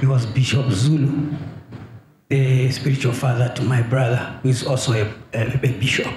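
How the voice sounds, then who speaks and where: Against light background noise and audible room echo, a man talks at a medium pitch. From Zambia. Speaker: prophet. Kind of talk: testimony. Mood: earnest, troubled. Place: church. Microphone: handheld.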